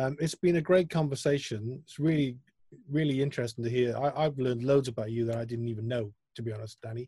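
A man talks very fast at a medium pitch, with ordinary pitch variation. His tone is dark and mellow and somewhat breathy. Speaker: music interviewer. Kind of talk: interview.

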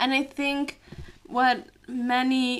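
A woman is speaking. Her pitch is high. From Italian family background. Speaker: podcast co-host. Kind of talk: casual chat.

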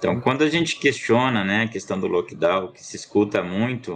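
A man with lively intonation talks at a moderate pace, with noticeable background noise around him. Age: 30s. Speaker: pediatrician and city councillor. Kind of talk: interview.

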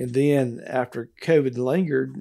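A man speaks in a Mississippi accent at medium pitch. His tone is dark and mellow. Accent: Southern US (Mississippi). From Mississippi (Gillsburg, rural south). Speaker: lawyer. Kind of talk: interview. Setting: studio.

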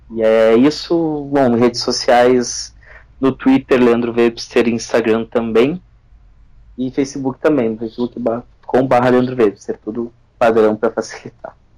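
Speech comes at a fairly slow pace. Its intonation is monotone and flat. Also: man, medium pitch for a man. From Rio Grande do Sul, Brazil (São Leopoldo). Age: 30s. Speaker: football fan activist. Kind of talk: casual chat.

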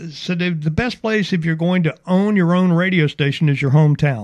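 With an Alabama accent, a man speaks at a moderate pace with ordinary pitch variation. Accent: Southern US (Alabama). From US South (Mobile, Alabama). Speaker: radio station owner and programmer. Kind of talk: radio interview. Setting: radio studio.

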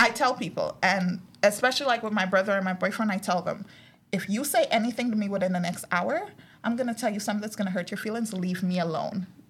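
At a very fast pace, a woman with a medium-pitched, somewhat breathy voice speaks with ordinary pitch variation. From Guyana. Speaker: podcast co-host. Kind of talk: casual chat.

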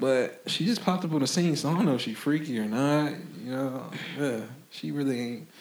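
Fairly high-pitched male speech at a fairly quick pace, ordinary pitch variation, and audible echo from the room. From Florida. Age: 20s. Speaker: clothing brand founder. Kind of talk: casual chat.

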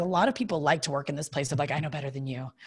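A somewhat breathy woman's voice with a Southern US accent. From Kentucky. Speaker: TV host, comedian and designer. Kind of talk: casual interview. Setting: video call.

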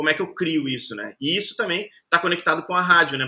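A man's voice with a fairly high pitch and a bright, sharp tone. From southern Brazil, Caxias do Sul (Rio Grande do Sul). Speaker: singer and artist manager. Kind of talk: casual interview chat.

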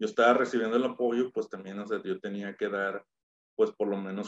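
A man is talking. His accent is Mexican. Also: dry, close sound with no echo. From Mexico, Torreón. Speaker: business consultant and former athlete. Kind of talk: casual interview.

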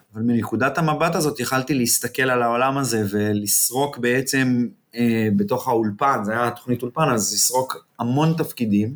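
At a moderate pace and medium pitch, a man talks with hardly any pauses, ordinary pitch variation and very even loudness. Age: 40s. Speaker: TV and film producer. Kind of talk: interview. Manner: halting.

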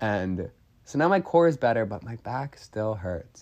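A man with an ordinary speaking voice talks in a medium pitch with lively intonation. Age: 20s. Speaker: podcast host. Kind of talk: casual monologue.

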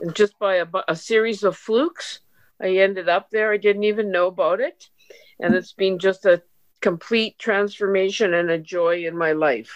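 A woman with an unremarkable speaking voice at a medium pitch and a moderate pace, ordinary pitch variation, and a dry, close sound with no echo. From Canada. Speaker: volunteer and retired teacher.

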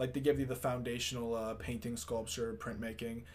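A man speaks fairly quickly in a plain, everyday voice, medium in pitch with ordinary pitch variation. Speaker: artist and musician. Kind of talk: casual chat.

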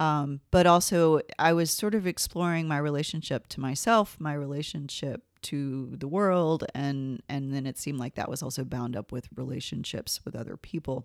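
In a very clean recording with a silent background, a woman with an American accent speaks at a moderate pace with hardly any pauses, in a very deep, low pitch with ordinary pitch variation. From US South, northern Georgia. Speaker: English professor and writer. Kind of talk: casual interview chat.

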